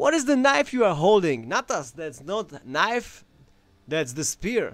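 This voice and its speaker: With a Czech accent, a man speaks at a high pitch with very wide pitch swings. His pace is fairly slow. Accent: Slavic (Czech) accent, heard as Russian. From Czech Republic. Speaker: knife throwing champion and YouTuber. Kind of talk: live stream Q&A. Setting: home workshop. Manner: casual, animated.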